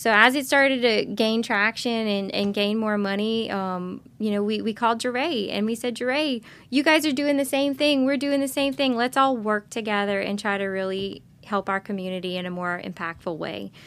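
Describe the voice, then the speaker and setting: This woman has a plain, everyday voice, fairly high in pitch, with ordinary pitch variation. She keeps a moderate pace with hardly any pauses. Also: very clean recording, silent background. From US South, Lockport, Louisiana (Lafourche Parish). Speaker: neurosurgeon. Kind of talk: interview.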